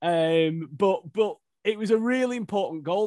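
The recording features a man with a quiet background behind him. It sounds dry and close, without any echo. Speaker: podcast host. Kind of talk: casual interview chat.

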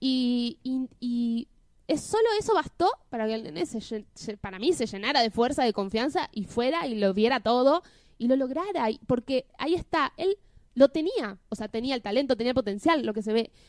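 In a dry, close sound with no echo, a woman with a high pitch speaks at a moderate pace with lively intonation. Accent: Buenos Aires. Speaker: podcast co-host. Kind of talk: casual chat.

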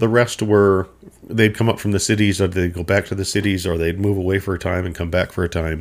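A man's very deep, low voice in monotone, flat intonation at a very fast pace, on a very clean recording with a silent background. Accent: Minnesota. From Minnesota. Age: 50s. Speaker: podcast host. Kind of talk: solo storytelling monologue. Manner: casual, meandering.

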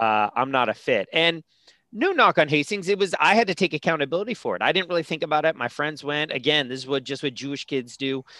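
A man with a Californian accent, fairly high-pitched and bright, sharp in tone, with lively intonation at a very fast pace, in a dry, close sound with no echo and a very clean recording with a silent background. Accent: Californian American English. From San Francisco, California. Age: 40s. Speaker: career coach and former lawyer. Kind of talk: casual interview.

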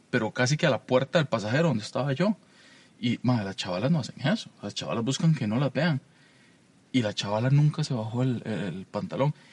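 A man's somewhat breathy voice moves at a fairly quick pace, his intonation lively. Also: medium pitch for a man, dry, close sound with no echo. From Costa Rica, Alajuela. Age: 30s. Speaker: podcast co-host. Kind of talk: casual chat.

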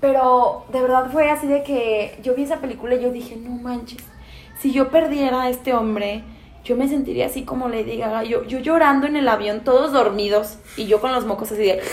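A woman's high voice at a moderate pace with fairly even intonation, audible room echo and noticeable background noise. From Mexico, Guanajuato (Pénjamo). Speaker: podcast co-host. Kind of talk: casual chat.

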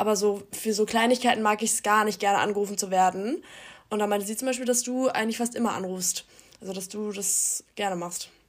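At a fairly quick pace, a woman with a fairly high pitch talks in an ordinary speaking voice, her intonation fairly even. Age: young. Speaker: university student. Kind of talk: casual chat.

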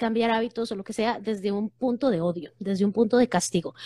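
A woman's somewhat breathy voice. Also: dry, close sound with no echo. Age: 40s. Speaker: psychologist. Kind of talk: casual chat. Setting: Instagram live video call.

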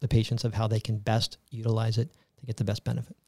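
A man's somewhat breathy, medium-pitched voice with an American accent, fairly even intonation and a very fast pace, in a dry, close sound with no echo on a very clean recording over a silent background. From US South, Tampa, Florida. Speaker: healthcare company executive. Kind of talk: interview.

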